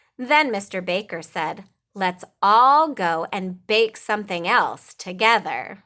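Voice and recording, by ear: Lively intonation while reading aloud in a natural voice, quiet background behind it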